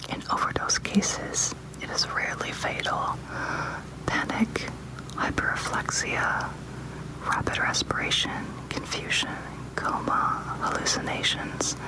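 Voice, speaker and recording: Someone whispers at a fairly slow pace with long, frequent pauses. Background noise is noticeable. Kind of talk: ASMR reading of medication information. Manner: whispered.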